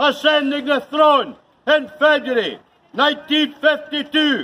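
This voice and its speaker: Man in a raised, projected voice at an extremely high pitch, fairly slow pace. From Chadderton, England. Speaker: town crier. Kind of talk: town crier proclamation. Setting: outdoors, shopping precinct. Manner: loud, formal, projected. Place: street. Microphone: camera far.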